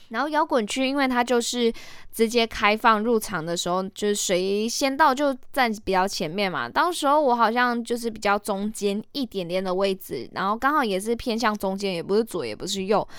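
A woman speaks at a moderate pace in a fairly high voice, with ordinary pitch variation. Her tone is animated and she hardly pauses. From Malaysia. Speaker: podcast host. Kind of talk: casual solo podcast talk.

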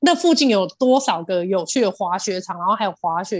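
Her intonation lively, a woman speaks in an animated tone. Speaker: podcast co-host, cafe owner. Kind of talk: casual chat.

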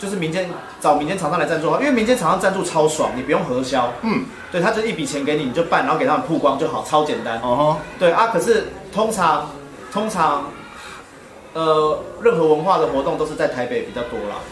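There's noticeable background noise and audible room echo as a man with a fairly high pitch talks in lively intonation. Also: fairly quick pace. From Taiwan, Taichung. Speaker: breakdancer and dance association official. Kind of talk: casual interview livestream. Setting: on-location livestream in Taichung.

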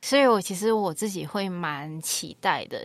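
In a very clean recording with a silent background, a woman speaks in an ordinary speaking voice with ordinary pitch variation. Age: 20s. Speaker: psychology graduate student. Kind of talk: casual chat.

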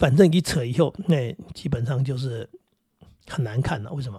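A man speaks in a somewhat breathy voice. His pitch shows ordinary variation. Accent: Taiwanese. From Taiwan. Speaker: podcast host. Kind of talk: casual monologue. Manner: many hesitations and fillers; calm.

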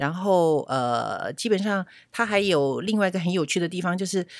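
Her voice is fairly low, with lively intonation and a fairly slow pace. The woman is recorded very cleanly against a silent background. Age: 60s. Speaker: retail store clerk. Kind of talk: interview. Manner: gentle, soft-spoken at first.

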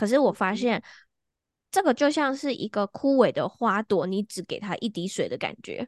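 A woman uses an ordinary speaking voice, fairly high in pitch, with lively intonation at a moderate pace. The sound is dry and close with no echo, over a quiet background. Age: 20s. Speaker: astrologer and hypnotherapist. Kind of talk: casual interview chat.

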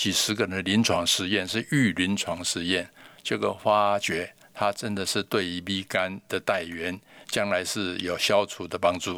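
A man talks at a fairly slow pace in a very deep, low pitch with monotone, flat intonation. His tone is bright and sharp, and the recording is very clean with a silent background. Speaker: algae researcher, company founder. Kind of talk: interview.

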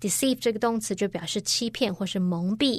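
Here a woman speaks in a Chinese accent. Her intonation is lively. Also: quiet background. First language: Mandarin Chinese. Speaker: English teacher. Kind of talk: grammar lesson.

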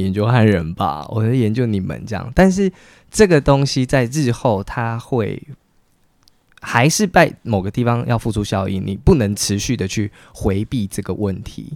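The recording is very clean with a silent background, as a man speaks at a medium pitch with ordinary pitch variation. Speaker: writer. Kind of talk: interview conversation.

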